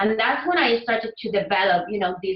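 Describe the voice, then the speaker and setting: At a moderate pace, a woman with a non-native accent speaks in a fairly high pitch. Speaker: Spanish teacher and language app creator. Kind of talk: interview.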